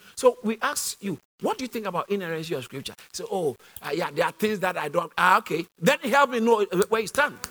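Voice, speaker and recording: A high-pitched man speaks very fast with lively intonation, in a dry, close sound with no echo. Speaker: preacher. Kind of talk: sermon.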